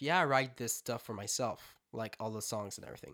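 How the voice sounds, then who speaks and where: A man with a French Canadian accent at a fairly quick pace, bright and sharp in tone. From Quebec. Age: 20s. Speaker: singer-songwriter musician. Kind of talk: casual interview chat. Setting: home studio.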